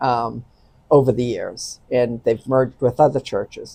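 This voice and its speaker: This woman has a dark, mellow tone and an American accent, speaking at a moderate pace. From Boston, Massachusetts. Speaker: annulment advisor. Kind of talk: interview.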